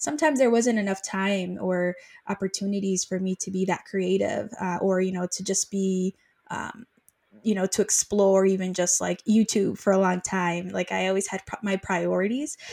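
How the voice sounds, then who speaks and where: With a normal speaking voice, a woman talks in fairly even intonation on a very clean recording with a silent background. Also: medium pitch for a woman, moderate pace. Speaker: project manager and author concierge. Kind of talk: interview.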